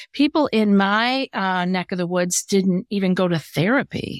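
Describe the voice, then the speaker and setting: A woman's medium-pitched, an ordinary speaking voice at a fairly slow pace, in a very clean recording with a silent background and a dry, close sound with no echo. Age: 60s. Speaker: anxiety coach and podcast host. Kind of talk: casual interview chat.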